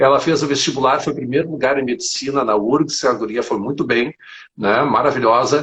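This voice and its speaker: A man talks with a somewhat breathy voice at a fairly high pitch. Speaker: geography teacher. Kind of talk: live interview. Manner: fast.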